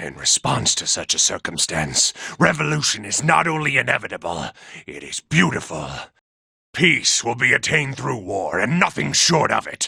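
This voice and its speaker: A raspy, put-on character voice. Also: man, medium pitch for a man, moderate pace. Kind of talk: audio log narration. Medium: dub. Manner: measured, reflective.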